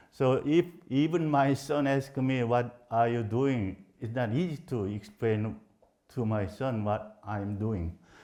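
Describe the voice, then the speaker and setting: The man's voice is dark and mellow, at a medium pitch with ordinary pitch variation. The background is quiet. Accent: Korean. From South Korea. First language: Korean. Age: 70s. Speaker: professor. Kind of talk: lecture. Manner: halting.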